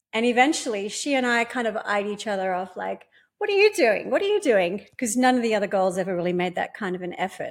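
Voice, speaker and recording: A woman's fairly high voice with an Australian accent, at a very fast pace with ordinary pitch variation, in a very clean recording with a silent background. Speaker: pole dance instructor and competition winner. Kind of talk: casual interview.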